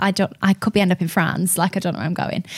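A woman speaks with a Lancashire accent. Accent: Lancashire northern English. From Lancashire, northern England. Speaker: radio host. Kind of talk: casual chat interview. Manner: chatty, animated, friendly.

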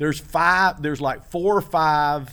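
In an unremarkable speaking voice, the speaker goes at a fairly slow pace with ordinary pitch variation. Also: man. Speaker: podcast co-host. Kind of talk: casual chat. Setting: comedy theater stage.

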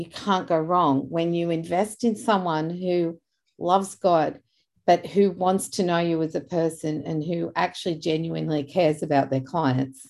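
A woman speaks in an Australian accent with a fairly low pitch. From Australia (Sydney area). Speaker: podcast host. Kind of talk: casual faith-based interview. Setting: video call. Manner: animated.

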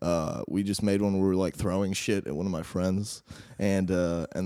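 A moderate pace carries the speech. Its tone is dark and mellow, and the pitch shifts in an ordinary way. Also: man. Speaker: film student and comedian. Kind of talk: casual interview chat. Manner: halting.

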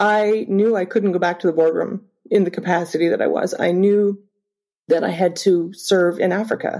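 On a very clean recording with a silent background, a woman with a Canadian accent speaks at a moderate pace and medium pitch in an unremarkable speaking voice. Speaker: humanitarian charity cofounder. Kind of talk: personal testimony.

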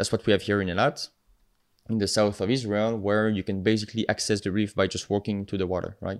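A man with a French accent talks at a very fast pace. His fairly low voice stays monotone and flat. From France, the Alps. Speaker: marine biologist, PhD student and nonprofit co-founder. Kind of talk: podcast interview.

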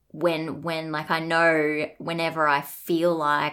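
In an Australian accent, a woman speaks at a very deep, low pitch on a very clean recording with a silent background. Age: 30s. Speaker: guest sharing lived experience of a parent's mental illness. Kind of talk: personal testimony in interview. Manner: halting, with fillers and repeats.

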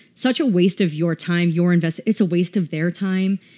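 A woman with an American accent uses an ordinary speaking voice at a fairly low pitch. She speaks at a moderate pace with fairly even intonation, in a very clean recording with a silent background. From US South, Atlanta. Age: 30s. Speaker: boutique owner. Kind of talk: casual interview.

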